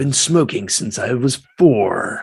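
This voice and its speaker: This man's pace is fairly slow and his pitch medium as he performs a put-on character voice. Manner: aggressive.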